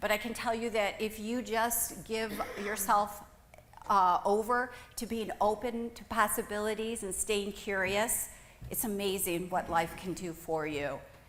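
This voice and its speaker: A woman's fairly high voice at a fairly slow pace, with ordinary pitch variation and audible room echo. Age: 60s. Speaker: millwork business owner, former professor. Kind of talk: conference talk.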